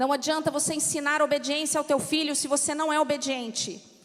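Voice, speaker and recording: A woman with a São Paulo accent, high in pitch, at a moderate pace. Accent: São Paulo accent, noticed by locals. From São Paulo, Brazil. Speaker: pastor's wife, preacher. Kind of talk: sermon. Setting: church.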